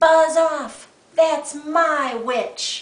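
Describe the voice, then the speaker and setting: A put-on character voice, high, shrill, croaky and growling, comes through with slight echo. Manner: gruff, menacing.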